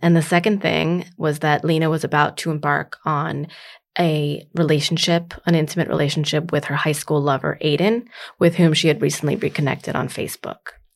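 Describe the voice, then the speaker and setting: A woman speaks with a very deep, low pitch and vocal fry, keeping her intonation fairly even. The recording is very clean, with a silent background. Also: fairly quick pace. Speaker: author. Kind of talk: interview conversation about her book.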